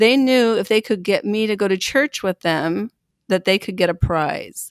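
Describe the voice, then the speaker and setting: A woman's medium-pitched voice, an ordinary speaking voice with an American accent, ordinary pitch variation and a moderate pace, in a very clean recording with a silent background and a dry, close sound with no echo. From US Pacific Northwest, Pendleton, Oregon. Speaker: Salvation Army officer and national treasurer. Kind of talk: interview.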